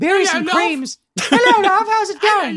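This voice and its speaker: A put-on character voice, pitched extremely high, moves at a moderate pace. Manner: warm, cheerful.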